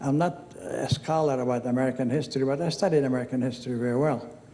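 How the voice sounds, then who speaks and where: Fairly quick speech from a man at medium pitch with fairly even intonation, amid audible room echo and noticeable background noise. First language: Arabic. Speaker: hall of fame inductee. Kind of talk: acceptance speech. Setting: stage with audience. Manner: casual, digressive storytelling.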